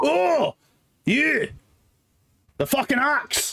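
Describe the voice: A man puts on a character voice that is gravelly. His pitch is extremely high.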